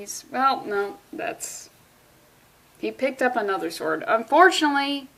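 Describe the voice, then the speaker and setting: This woman's voice sits at a high pitch. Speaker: comic book reviewer. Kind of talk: casual comic review. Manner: fast; animated.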